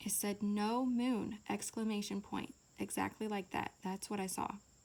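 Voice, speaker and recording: A woman talks at a medium pitch. Her intonation stays monotone and flat. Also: moderate pace. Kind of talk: casual testimony. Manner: casual, many fillers.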